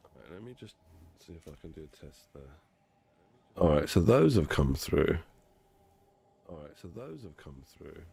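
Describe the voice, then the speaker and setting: At a moderate pace, a man speaks in a very deep, low pitch with a dark, mellow tone and vocal fry. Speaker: game streamer. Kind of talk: live game stream chat.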